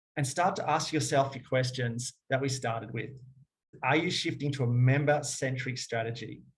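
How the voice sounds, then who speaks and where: A somewhat breathy man speaks at medium pitch with fairly even intonation. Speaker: fitness business owner. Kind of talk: webinar presentation and Q&A. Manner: fast.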